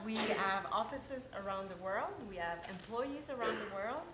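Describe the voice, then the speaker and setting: A woman with a Quebec accent talks at a moderate pace with ordinary pitch variation. Noticeable background noise and audible room echo come through. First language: French. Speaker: corporate IT representative, sponsor speaker. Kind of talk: sponsor presentation. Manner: halting, many fillers.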